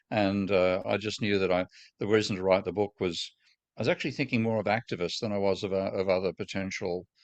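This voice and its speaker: With an Australian accent, a man speaks at a very fast pace in a fairly low pitch and fairly even intonation, the sound dry and close with no echo and the background quiet. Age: 70s. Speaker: economics professor. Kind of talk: interview conversation. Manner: halting, many false starts.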